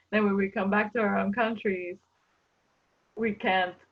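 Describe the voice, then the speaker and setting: A woman of medium pitch with a Spanish accent, monotone and flat in intonation, at a moderate pace. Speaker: international student. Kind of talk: testimony. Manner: halting.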